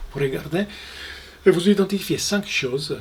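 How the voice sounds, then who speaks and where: Fairly slow speech in a strong Italian accent, with noticeable background noise. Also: man. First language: Italian (speaking French). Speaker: mindfulness instructor. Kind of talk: guided mindfulness exercise. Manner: halting, many repetitions and fillers.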